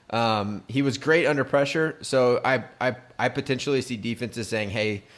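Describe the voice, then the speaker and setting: Here a man with an American accent talks at a medium pitch with ordinary pitch variation. The recording is very clean, with a silent background. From San Diego, US. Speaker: podcast host. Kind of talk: casual chat.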